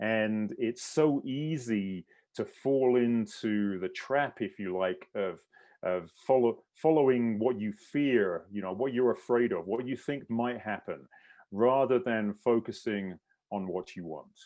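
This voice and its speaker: A man with a British accent speaks at a very slow pace, his pitch in the medium range with ordinary pitch variation. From England. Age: 60s. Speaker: endurance coach and mindset specialist. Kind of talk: online clinic presentation.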